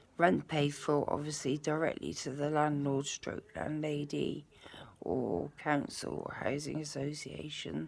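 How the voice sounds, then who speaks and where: Very slowly, a woman speaks with a very deep, low pitch, vocal fry and fairly even intonation. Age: 50s. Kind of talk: casual talk to camera.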